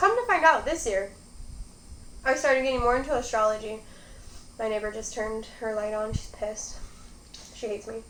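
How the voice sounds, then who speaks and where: A woman with a Michigan accent talks at a fairly quick pace and fairly high pitch, with ordinary pitch variation and long, frequent pauses. Audible room echo and noticeable background noise come through. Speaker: mukbang youtuber. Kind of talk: casual chat while eating.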